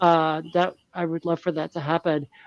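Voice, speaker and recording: A woman with an American accent uses a plain, everyday voice, fairly low in pitch and at a moderate pace, recorded with a dry, close sound and no echo. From United States. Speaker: science fiction writer. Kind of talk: panel discussion.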